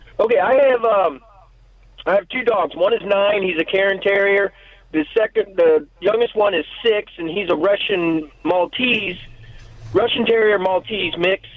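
A man with an American accent speaks at a high pitch and a fairly slow pace. His pitch varies in an ordinary way over noticeable background noise. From Missouri. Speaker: caller. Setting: phone call.

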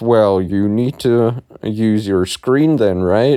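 A man speaks very slowly in a dark, mellow tone with ordinary pitch variation. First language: German. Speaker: podcast host. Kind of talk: solo podcast monologue. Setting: in bed at home. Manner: casual.

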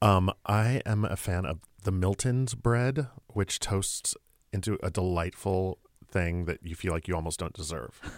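Recorded with a dry, close sound and no echo, a man with an American accent speaks at a fairly slow pace in a very deep, low pitch. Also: ordinary pitch variation, very clean recording, silent background. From Texas. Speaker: playwright. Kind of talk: casual chat. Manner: animated.

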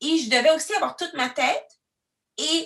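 The voice is loud, with lively intonation. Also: woman. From Quebec City, Canada. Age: 30s. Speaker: diversity consultant. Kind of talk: interview testimony. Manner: expressive.

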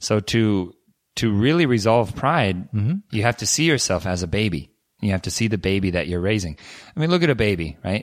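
A man with an American accent, fairly low pitch and very wide pitch swings, at a fairly quick pace in a very clean recording with a silent background. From United States. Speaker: language learning podcast host. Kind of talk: casual chat.

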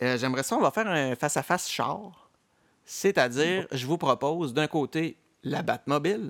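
A man with a plain, everyday voice, fairly high-pitched, speaks at a moderate pace with ordinary pitch variation in a dry, close recording with no echo, very clean and against a silent background. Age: 40s. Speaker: podcast host. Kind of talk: casual chat.

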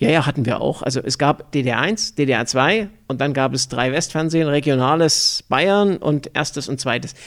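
A man with an ordinary speaking voice talks at a moderate pace with hardly any pauses. His pitch is fairly high, with ordinary variation. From Thuringia and Upper Franconia, Germany. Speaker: business manager. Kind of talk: interview.

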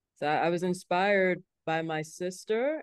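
Her intonation fairly even, a woman talks in a fairly low pitch with a plain, everyday voice. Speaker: theater founder and director. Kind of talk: podcast interview.

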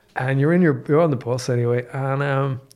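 A man's medium-pitched voice in a Dublin accent, with fairly even intonation, on a very clean recording over a silent background. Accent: Irish (Dublin). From Ireland, Dublin. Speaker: economics professor. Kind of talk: casual chat. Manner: soft-spoken.

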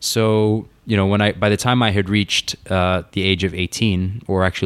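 Recorded very cleanly against a silent background, a man speaks in a fairly low pitch with monotone, flat intonation. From UK. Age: 30s. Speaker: mountaineer. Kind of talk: casual chat.

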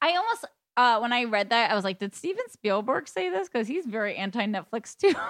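Very wide pitch swings mark this woman's fairly high voice at a very fast pace. The sound is dry and close, with no echo. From Boston, US. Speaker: podcast guest. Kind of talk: casual chat.

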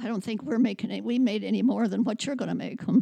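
In a very clean recording with a silent background, a woman speaks with a fairly high pitch, a dark, mellow tone and some vocal fry. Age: 90s. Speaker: host's grandmother. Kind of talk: casual chat. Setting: studio.

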